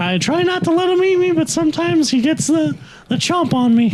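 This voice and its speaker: In a put-on character voice, the speaker sounds squeaky and high-pitched at a fairly quick pace. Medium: audio drama. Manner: deadpan, earnest.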